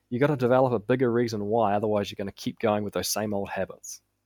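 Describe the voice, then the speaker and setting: A man with a New Zealand accent speaks at a medium pitch with fairly even intonation. The recording is very clean with a silent background and a dry, close sound with no echo. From New Zealand, South Auckland. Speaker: business coach. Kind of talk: podcast interview.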